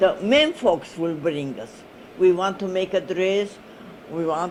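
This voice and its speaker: With noticeable background noise, the speaker moves at a fairly slow pace, using lively intonation and big swings in loudness. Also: woman, medium pitch for a woman. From Armenian village in Turkey. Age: 80s+. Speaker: oral history interviewee. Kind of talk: oral history interview. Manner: halting, many hesitations.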